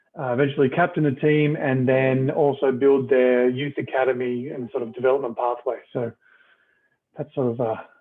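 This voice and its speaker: The speaker has a slight Australian accent. The intonation is monotone and flat. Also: man, medium pitch for a man, moderate pace. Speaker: retired rugby player and coach. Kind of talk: casual interview.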